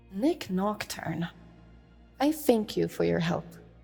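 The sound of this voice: A woman uses a put-on character voice at medium pitch, slow and with lively intonation, faint music playing behind her. Her slightly mellow tone carries vocal fry and a slightly husky edge.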